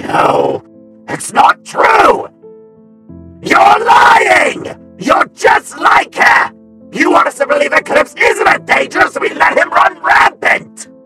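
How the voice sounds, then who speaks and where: A man at a very slow pace, with faint music in the background. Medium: fan dub. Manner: intense, brooding.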